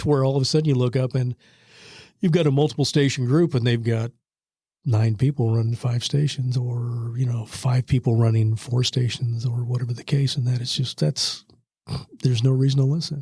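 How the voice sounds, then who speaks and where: A man with an American accent talks at a fairly quick pace and a medium pitch. His voice is somewhat breathy and dark and mellow in tone, with fairly even intonation. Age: 60s. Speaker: retired radio broadcaster. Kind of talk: interview. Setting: podcast recording. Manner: conversational, with many fillers and repetitions.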